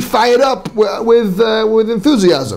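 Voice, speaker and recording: A man at a moderate pace, with audible room echo. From Manchester, England. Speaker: rabbi. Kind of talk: lecture. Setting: class with live audience, on sound system. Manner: halting, many fillers and repetitions.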